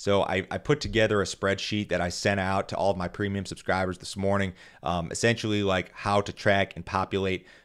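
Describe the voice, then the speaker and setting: A man with an ordinary speaking voice talks at a fairly quick pace, his pitch fairly low and his intonation fairly even, against a quiet background. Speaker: grain market commentator. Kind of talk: market commentary podcast. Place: studio. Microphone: studio mic.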